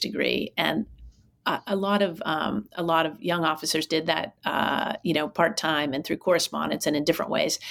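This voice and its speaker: This woman talks at a fairly quick pace with a fairly low pitch, vocal fry and ordinary pitch variation in a very clean recording with a silent background. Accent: American. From Pittsburgh, Pennsylvania. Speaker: former college president. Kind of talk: interview. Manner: many fillers and restarts.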